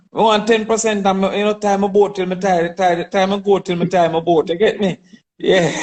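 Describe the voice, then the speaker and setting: A man's high voice at a fairly quick pace, with monotone, flat intonation. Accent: Jamaican. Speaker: politician and goat farmer. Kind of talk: interview.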